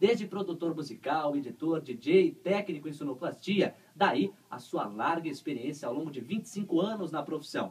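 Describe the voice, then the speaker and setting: This man has a plain, everyday voice, pitched fairly high. His intonation is lively. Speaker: radio host. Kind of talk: radio interview host.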